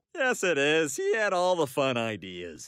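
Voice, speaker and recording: A man uses a cartoonish character voice with a fairly high pitch. The recording is very clean, with a silent background. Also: moderate pace. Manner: earnest, straightforward.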